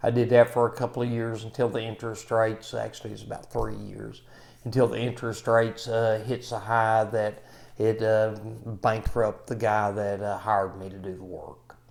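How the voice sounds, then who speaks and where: A man's medium-pitched voice with an American accent, flat monotone intonation, and big swings in loudness. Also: moderate pace. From Kentucky. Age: 60s. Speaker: maintenance trainer. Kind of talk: self-introduction talk. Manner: halting, many fillers.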